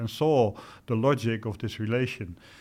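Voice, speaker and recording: A man with a Dutch accent speaks at a medium pitch with ordinary pitch variation over a quiet background. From Netherlands. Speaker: retired general. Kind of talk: interview. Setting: studio. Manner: hesitant with fillers.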